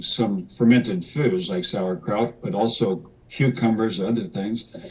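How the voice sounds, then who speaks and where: Against noticeable background noise, a man at medium pitch speaks at a fairly slow pace. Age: 70s. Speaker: macrobiotics nutrition educator. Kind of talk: interview. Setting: video call.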